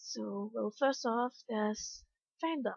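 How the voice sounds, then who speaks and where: A woman with a Danish accent, fairly high-pitched, speaking at a very slow pace. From Denmark. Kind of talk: casual vlog talk.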